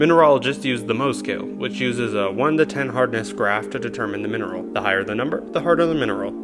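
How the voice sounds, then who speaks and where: Over background music, a man talks at a very fast pace with hardly any pauses. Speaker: YouTube lore narrator. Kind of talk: casual educational narration.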